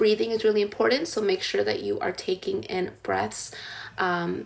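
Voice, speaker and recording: Noticeable background noise behind a woman's American accent. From United States. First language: Spanish. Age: 20s. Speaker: tarot reader and spiritual content creator. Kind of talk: live stream talk with guided meditation instructions. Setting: live stream while doing makeup. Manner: casual, conversational with filler words.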